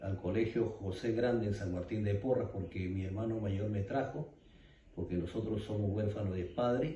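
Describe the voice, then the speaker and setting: There is audible room echo around this voice. A man talks at a moderate pace and fairly low pitch with ordinary pitch variation. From Peru, Ayacucho (Andes). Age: 60s. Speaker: eyewitness of armed conflict. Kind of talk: interview testimony. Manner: halting, many fillers.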